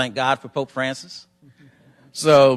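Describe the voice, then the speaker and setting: A man with a Southern US accent talks in a bright, sharp tone. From US South, North Carolina. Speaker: government environmental official, panelist. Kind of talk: panel presentation.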